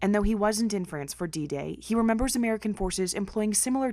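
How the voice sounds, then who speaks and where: An ordinary speaking voice from a woman, medium in pitch with ordinary pitch variation, in a very clean recording with a silent background. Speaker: TV news reporter. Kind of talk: TV news report.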